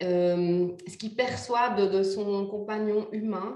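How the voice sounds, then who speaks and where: A woman speaks with a fairly high voice. Room echo is audible. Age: 40s. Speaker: animal communicator. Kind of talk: interview.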